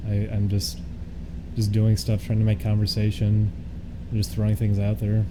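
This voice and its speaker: Music plays in the background and audible room echo surrounds a man's voice. He talks at a fairly quick pace with a fairly low pitch. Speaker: streamer. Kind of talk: casual live stream chat. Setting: live stream.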